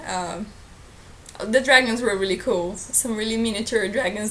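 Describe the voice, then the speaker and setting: With a Portuguese accent and ordinary pitch variation, a woman talks over noticeable background noise while audible room echo fills the recording. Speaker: book vlogger. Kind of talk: casual vlog.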